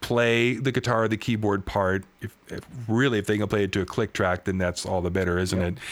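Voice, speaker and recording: A normal speaking voice, this man talks at a fairly quick pace with a fairly low pitch and fairly even intonation, in a very clean recording with a silent background. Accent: American. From Washington State, US Pacific Northwest. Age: 50s. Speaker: guitarist and songwriter. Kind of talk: interview.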